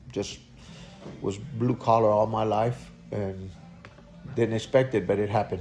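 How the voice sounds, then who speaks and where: Over music in the background, the speaker talks at a fairly slow pace with fairly even intonation and long, frequent pauses. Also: man, fairly low pitch for a man. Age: 60s. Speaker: auto repair shop owner. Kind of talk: interview. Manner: halting, many fillers.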